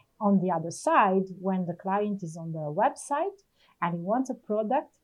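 Lively intonation from a woman at medium pitch with an Italian accent, at a fairly slow pace. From Italy. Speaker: retail operations manager. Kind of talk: interview.

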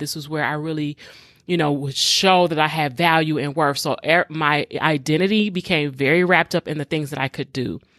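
A woman with an American accent speaks at a very deep, low pitch with fairly even intonation. The sound is dry and close with no echo, on a very clean recording with a silent background. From Detroit, US. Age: 40s. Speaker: podcast host, faith-based emotional healing. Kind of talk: solo podcast monologue, personal testimony.

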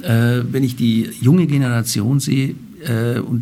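A man at a fairly slow pace, medium in pitch, with fairly even intonation. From Bavaria, Germany. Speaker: banker, president of a financial-centre association. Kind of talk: interview. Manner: hesitant, many filler sounds.

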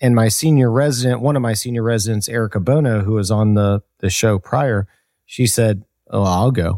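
A man talks at a moderate pace with medium pitch and a dark, mellow tone. The loudness is very even, and the sound is dry and close with no echo. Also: ordinary pitch variation, very clean recording, silent background. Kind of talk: casual chat.

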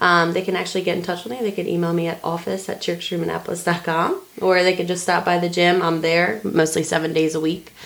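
Talking at a very fast pace with hardly any pauses, a woman with an American accent uses a fairly low pitch and a monotone, flat intonation over noticeable background noise. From Philadelphia. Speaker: cheerleading coach. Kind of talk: interview.

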